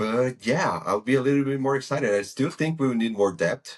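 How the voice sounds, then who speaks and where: A man with a non-native accent, medium in pitch with ordinary pitch variation, at a fairly quick pace against a quiet background. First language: not English. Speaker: football podcast host. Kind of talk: casual chat.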